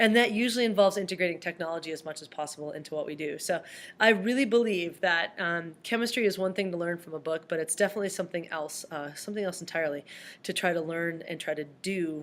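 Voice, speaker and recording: Against a silent background in a very clean recording, a woman speaks very fast at a fairly low pitch with ordinary pitch variation. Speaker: high school chemistry teacher. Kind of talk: recorded video presentation to parents.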